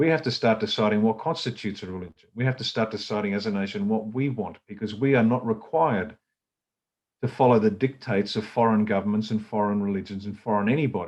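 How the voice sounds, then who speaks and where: A man's fairly low voice with an Australian accent, ordinary pitch variation and a very fast pace. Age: 60s. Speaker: political party leader. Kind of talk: political talk. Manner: animated.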